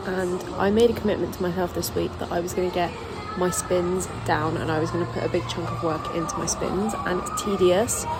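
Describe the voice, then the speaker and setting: A woman with a fairly low pitch speaks over music in the background. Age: young. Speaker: figure skater. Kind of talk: casual vlog talk to camera.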